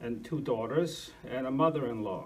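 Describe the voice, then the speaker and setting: A man talks fairly slowly, and audible room echo follows his words. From Argentina, Russian family, moved to US 1960. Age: 60s. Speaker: lecturer on historical investigation. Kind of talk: lecture. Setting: church hall with audience. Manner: halting, many fillers.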